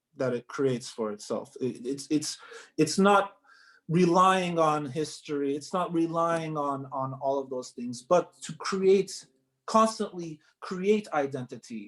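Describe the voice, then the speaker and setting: In a normal speaking voice, a man talks at a fairly slow pace, his fairly high pitch carried by lively intonation. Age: young. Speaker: article writer. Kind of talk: interview answer.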